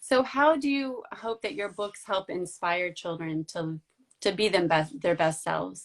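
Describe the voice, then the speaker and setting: Speaking at a fairly slow pace with lively intonation, a woman with an American accent has an ordinary speaking voice. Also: medium pitch for a woman. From United States. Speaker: book blogger and interviewer. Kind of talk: interview. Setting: social media live video.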